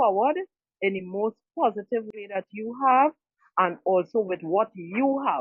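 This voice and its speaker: A woman talks in an ordinary speaking voice, fairly high in pitch. Her pace is fairly slow and her intonation lively. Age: 60s. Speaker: audience member sharing advice. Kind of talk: casual testimony.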